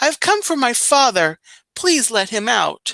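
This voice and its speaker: A woman puts on a character voice with a high pitch and very wide pitch swings, speaking at a fairly slow pace. The recording is very clean with a silent background and a dry, close sound with no echo. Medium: read story. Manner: firm, stern.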